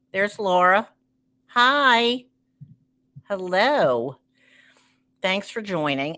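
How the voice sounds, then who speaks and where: In a Baltimore accent, a woman with a medium pitch and a bright, sharp tone talks at a very slow pace, her pitch swinging very widely and her speech broken by long, frequent pauses. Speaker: entertainer and live show host. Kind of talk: live stream show intro. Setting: live stream.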